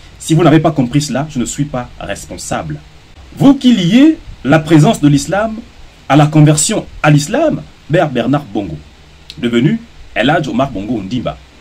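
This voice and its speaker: A man with a fairly high voice speaks at a fairly slow pace, his pitch swinging very widely. He leaves long, frequent pauses amid noticeable background noise. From Gabon. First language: Gisir (speaking French). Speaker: social media commentator. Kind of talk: opinion monologue. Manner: formal; combative.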